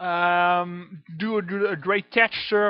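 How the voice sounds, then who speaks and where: This man's high-pitched voice keeps a fairly even intonation. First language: French. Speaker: video game modder. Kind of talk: tutorial. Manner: halting, many fillers.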